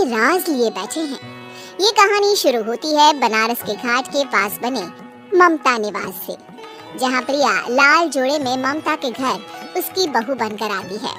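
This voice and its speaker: Clear music plays in the background behind a cartoonish character voice. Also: female-sounding voice. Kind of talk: horror narration.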